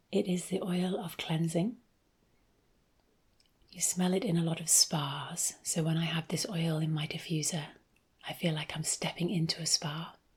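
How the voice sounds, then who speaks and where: A soft-spoken, somewhat breathy woman in a British accent leaves long, frequent pauses. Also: fairly low pitch for a woman, fairly even intonation, moderate pace. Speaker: ASMR creator and essential oils seller. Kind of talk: ASMR soft-spoken ramble.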